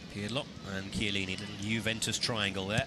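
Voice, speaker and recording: Music plays in the background. A man talks at a very fast pace. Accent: English. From England. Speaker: football commentator. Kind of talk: live commentary.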